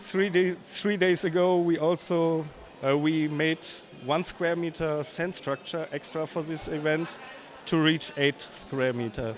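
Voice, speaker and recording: Over noticeable background noise, a man with a non-native accent talks at a fairly slow pace in a fairly high pitch, keeping his intonation fairly even. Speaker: LEGO builder. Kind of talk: casual interview. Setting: convention floor. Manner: halting.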